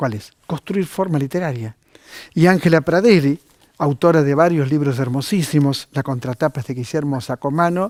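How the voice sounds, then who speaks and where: In a normal speaking voice with ordinary pitch variation, the speaker goes at a moderate pace, the sound dry and close with no echo on a very clean recording with a silent background. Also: man, fairly high pitch for a man. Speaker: TV host, book reviewer. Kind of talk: TV book recommendations.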